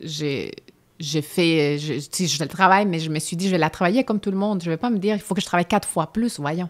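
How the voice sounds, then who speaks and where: A woman talks at a very fast pace with ordinary pitch variation on a very clean recording with a silent background. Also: fairly low pitch for a woman. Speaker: stage actress. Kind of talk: interview conversation.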